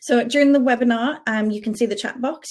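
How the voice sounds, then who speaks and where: Delivered at a very fast pace, the speech carries a Geordie accent and ordinary pitch variation. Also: woman. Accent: Geordie, toned down. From northern England, Newcastle area. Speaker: payroll specialist. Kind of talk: webinar presentation.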